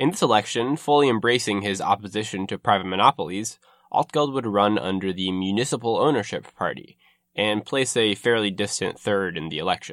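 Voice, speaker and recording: Fairly low-pitched and fairly quick, a man talks with ordinary pitch variation. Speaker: podcast host and narrator. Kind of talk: history documentary narration, scripted-style. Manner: measured, formal, explanatory storytelling; fluent but occasionally hesitant with filler words.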